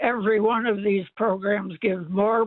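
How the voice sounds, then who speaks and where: A man with a high pitch talks at a fairly slow pace, keeping his intonation fairly even. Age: old. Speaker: caller. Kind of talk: call-in talk radio. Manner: halting, many fillers and repeats.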